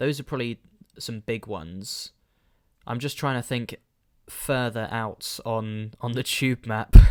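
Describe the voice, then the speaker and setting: A man with a London accent speaks at a fairly slow pace, medium in pitch with ordinary pitch variation, big swings in loudness, and long, frequent pauses. The sound is dry and close with no echo, a very clean recording with a silent background. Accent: London accent, drops T's. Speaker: solo podcaster and YouTuber. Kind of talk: casual solo podcast. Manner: hesitant, trails off with fillers.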